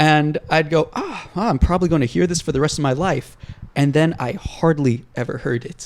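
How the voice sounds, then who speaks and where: A man speaks with a fairly high pitch and ordinary pitch variation. His pace is moderate. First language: Hebrew. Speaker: podcast co-host. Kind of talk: casual chat.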